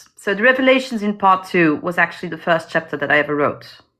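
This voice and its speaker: A woman with a non-native accent speaks at medium pitch in a bright, sharp tone, her pitch swinging very widely. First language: not English. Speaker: indie fantasy author. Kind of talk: interview. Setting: livestream video call.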